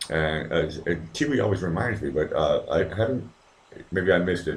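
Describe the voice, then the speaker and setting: Somewhat breathy and very deep and low in pitch, a man speaks with lively intonation. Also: moderate pace. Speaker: livestream host. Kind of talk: casual chat. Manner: soft-spoken.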